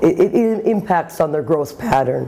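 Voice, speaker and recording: Noticeable background noise and audible room echo surround a woman who speaks at a moderate pace. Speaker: insurance industry executive. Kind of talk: interview. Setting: conference.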